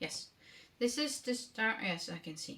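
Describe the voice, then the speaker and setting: This woman speaks in a Danish accent. Her pitch is high. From Denmark. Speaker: knitting vlogger. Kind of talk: casual vlog talk. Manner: halting, many fillers.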